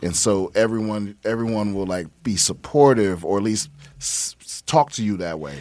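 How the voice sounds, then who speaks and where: A man with an American accent has a normal speaking voice and a fairly low pitch. He talks at a moderate pace with ordinary pitch variation. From US East Coast, Prince George's County, Maryland (DC area). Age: middle-aged. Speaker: stand-up comedian and military veteran. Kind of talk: casual chat.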